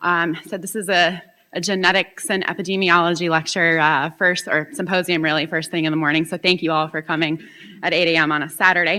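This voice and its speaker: Loud and at a fairly quick pace, a woman speaks with a fairly low pitch, a bright, sharp tone and monotone, flat intonation. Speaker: professor. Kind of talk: conference talk. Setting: stage with audience.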